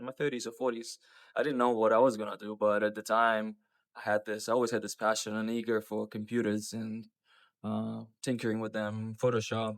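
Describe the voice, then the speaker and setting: The speech comes at a fairly quick pace with flat, monotone intonation and a Russian accent. The recording is very clean, with a silent background. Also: man, fairly low pitch for a man. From Russia, port city; moved to New Zealand at 15. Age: 30s. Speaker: business owner. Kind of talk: personal vlog storytelling. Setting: outdoors.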